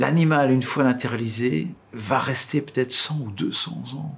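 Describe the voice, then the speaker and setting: Lively intonation comes through at a fairly slow pace. There is noticeable background noise. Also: man. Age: 60s. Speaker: taxidermist. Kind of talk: interview; casual chat.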